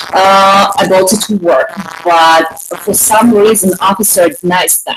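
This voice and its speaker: Over noticeable background noise, a woman with a Russian accent talks at a fairly slow pace, with medium pitch and fairly even intonation. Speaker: panelist. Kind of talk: casual debate. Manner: halting.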